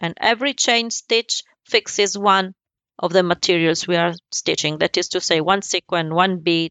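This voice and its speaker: A woman with an Italian accent, medium pitch, ordinary pitch variation and a moderate pace. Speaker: embroidery business owner. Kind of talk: interview. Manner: halting.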